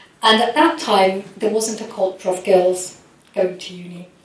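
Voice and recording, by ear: Through strong room echo, a woman speaks at a moderate pace and medium pitch with fairly even intonation.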